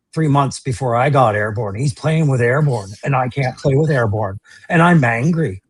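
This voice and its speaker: The voice is somewhat breathy, moving at a moderate pace with ordinary pitch variation in a dry, close sound with no echo. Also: man. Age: 50s. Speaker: toy collector. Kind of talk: casual chat.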